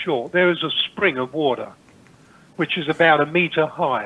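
A man with an East Anglian accent, moderate pace and ordinary pitch variation. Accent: English, rural East Anglian. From England, Cambridgeshire. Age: 70s. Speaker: spiritual teacher. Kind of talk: interview.

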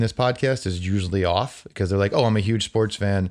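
A man with a fairly low pitch talks at a moderate pace in an ordinary speaking voice. The background stays quiet. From New Jersey. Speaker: sports team sales executive. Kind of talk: casual interview chat.

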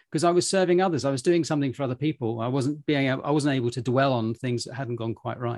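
Speaking at a very fast pace with hardly any pauses, a man uses a British accent, a medium pitch and ordinary pitch variation. The sound is dry and close, with no echo. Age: 50s. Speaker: podcast host and travel entrepreneur. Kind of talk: interview conversation.

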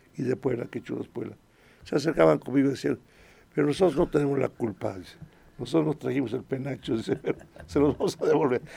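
Pausing long and often yet speaking very fast, a man with a dark, mellow tone and vocal fry uses lively intonation at a medium pitch. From Mexico, Puebla (Acatlán). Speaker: choir director. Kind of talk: radio interview. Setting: radio studio.

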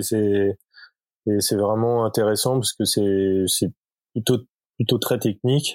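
A man with a plain, everyday voice talks at a fairly slow pace and medium pitch, his intonation fairly even, in a very clean, silent recording with a dry, close sound and no echo. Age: 40s. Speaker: cycling product designer. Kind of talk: casual interview.

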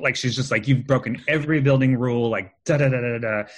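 Here a man with an American accent speaks at a medium pitch, somewhat breathy and animated. The background is quiet. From California. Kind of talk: casual chat. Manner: animated, many fillers.

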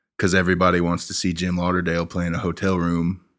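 A man with an American accent speaks in a very deep, low voice, flat and monotone, at a fairly quick pace on a very clean recording with a silent background. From Oklahoma. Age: 20s. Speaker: singer-songwriter. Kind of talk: casual chat. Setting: living room.

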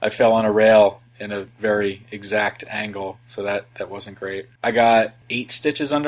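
This man has an ordinary speaking voice, fairly low in pitch, and talks at a moderate pace. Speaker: podcaster, former snowboard instructor. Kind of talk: casual chat.

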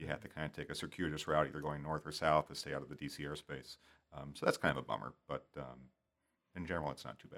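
Very fast and very deep in pitch, a man speaks with vocal fry, fairly even intonation, and big swings in loudness. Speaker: aviation safety researcher. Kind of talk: casual interview. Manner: hesitant, many fillers.

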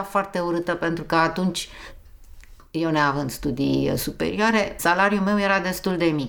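With an unremarkable speaking voice, a woman talks at a fairly slow pace with lively intonation and a fairly low pitch. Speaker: interviewee. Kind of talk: casual chat.

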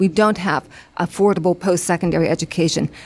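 The speaker has a normal speaking voice. The intonation is fairly even. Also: woman. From western Pennsylvania, Beaver County. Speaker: lawyer and political candidate. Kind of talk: interview.

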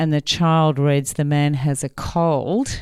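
A woman with a very deep, low pitch and a dark, mellow tone speaks at a fairly slow pace with fairly even intonation, in a very clean recording with a silent background. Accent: Australian. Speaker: academic researcher in language and literacy. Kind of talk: educational discussion with audience. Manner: hesitant, with many fillers.

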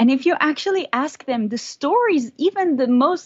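A woman speaks with very wide swings in pitch. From southern France, born in Florida. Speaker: neuroscience researcher. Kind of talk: interview, casual chat.

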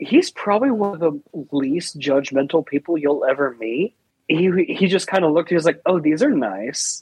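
A man with an ordinary speaking voice, fairly high pitch, lively intonation and a moderate pace, in a dry, close sound with no echo. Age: 20s. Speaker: IT worker and social media personality. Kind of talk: casual chat.

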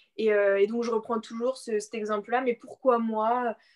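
In a plain, everyday voice, the speech moves at a fairly slow pace, dry and close with no echo over a quiet background. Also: woman. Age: 20s. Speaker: blogger and personal development coach. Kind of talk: interview.

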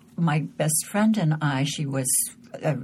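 A woman with an American accent has a very deep, low voice with ordinary pitch variation, heard over noticeable background noise. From Southern California, outside Los Angeles. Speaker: journalist and author, former war correspondent. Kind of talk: interview conversation. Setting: studio.

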